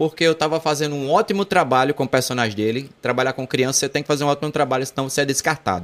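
Here a man talks at a very fast pace with hardly any pauses, his pitch fairly high and ordinarily varied. The recording is very clean, with a silent background. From João Pessoa, Paraíba, Brazil. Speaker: celebrity impersonator entertainer. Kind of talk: casual interview chat. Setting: studio.

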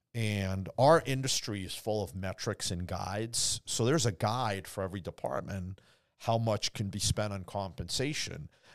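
Fairly slow and fairly low in pitch with ordinary pitch variation, a man has a plain, everyday voice on a very clean recording with a silent background. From immigrant, grew up in Boston area. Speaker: car dealership owner. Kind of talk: casual chat. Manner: laughs often.

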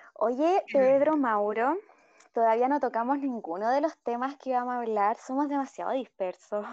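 A woman speaks at a moderate pace, high in pitch with ordinary pitch variation. Her loudness stays very even over a quiet background. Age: 20s. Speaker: podcast co-host. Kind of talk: casual chat. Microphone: choppy connection.

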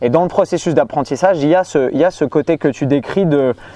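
This man has an unremarkable speaking voice, fairly high in pitch with ordinary pitch variation. The sound is dry and close, with no echo. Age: 30s. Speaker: fitness coach and youtuber. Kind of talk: casual chat.

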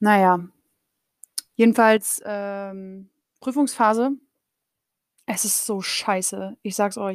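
A very slow pace with fairly even intonation and long, frequent pauses. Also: woman, medium pitch for a woman. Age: 30s. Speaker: podcaster and master's student. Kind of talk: casual solo monologue. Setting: home office. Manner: very colloquial, laughing often.

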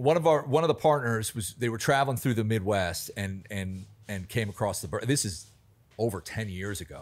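A man speaks in an ordinary speaking voice at a moderate pace, with a medium pitch and lively intonation. The recording is very clean, with a silent background. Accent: American. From US Mid-Atlantic (Alexandria, Virginia, near DC). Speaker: bar manager. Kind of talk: casual chat.

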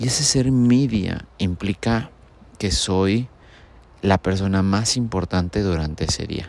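A man's fairly low voice at a very slow pace. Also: ordinary pitch variation. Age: 30s. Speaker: podcaster. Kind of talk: casual monologue.

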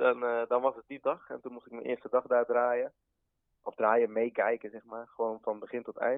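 A man speaks with monotone, flat intonation. His loudness swings widely. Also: medium pitch for a man, moderate pace. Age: 20s. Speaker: tattoo artist. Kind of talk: casual interview chat.

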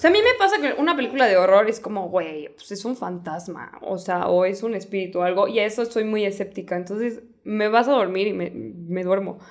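A woman with a Mexican accent at a fairly quick pace, hardly any pauses, over noticeable background noise. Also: medium pitch for a woman, ordinary pitch variation. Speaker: podcast co-host. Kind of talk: casual chat.

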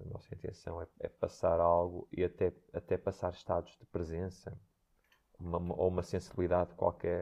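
A man talks at a moderate pace. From northern Portugal, Santo Tirso. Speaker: dancer and choreographer. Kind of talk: interview. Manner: halting.

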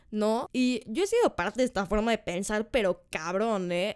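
A woman's fairly high voice in a Mexican accent, fairly slow, with ordinary pitch variation. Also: very clean recording, silent background. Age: 20s. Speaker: podcast host. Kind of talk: casual monologue.

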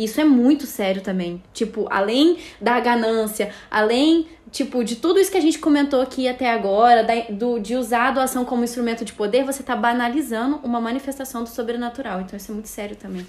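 Talking at a fairly quick pace with hardly any pauses, a woman with a high pitch shows ordinary pitch variation and big swings in loudness. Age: 20s. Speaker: media producer, Bible study guest. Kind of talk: casual Bible study discussion.

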